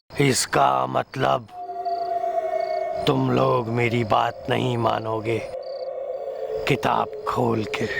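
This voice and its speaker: Through loud background noise, a man does a put-on character voice at a very slow pace. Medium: comedy sketch. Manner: teacherly, with a repeated catchphrase.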